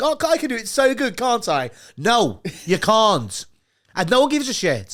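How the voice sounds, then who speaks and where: A man with a Liverpool accent speaks in a high voice and an animated tone, his pitch swinging very widely. The recording is very clean, with a silent background. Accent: Scouse. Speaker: podcast host. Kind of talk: casual chat.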